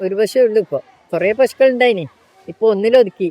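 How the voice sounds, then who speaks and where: The speaker is a woman. Her voice sits fairly high. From Kerala, India. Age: 60s. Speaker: dairy farmer and swimming teacher. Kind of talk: documentary interview answer.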